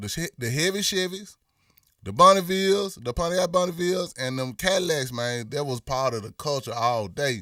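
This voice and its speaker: A man with a Memphis accent speaks at a moderate pace in a fairly high pitch, his tone bright and sharp and his intonation lively. The recording is very clean, with a silent background. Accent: Memphis accent, lighter than some. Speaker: rapper and live stream host. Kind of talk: casual live stream chat reading comments. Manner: animated.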